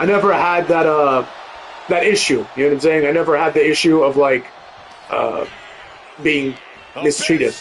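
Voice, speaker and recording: Moderate-paced speech with fairly even intonation and long, frequent pauses, against noticeable background noise. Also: man, fairly high pitch for a man. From Europe. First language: a European language, learned English as a child. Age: 30s. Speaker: gaming streamer. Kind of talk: casual chat. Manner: casual, many fillers.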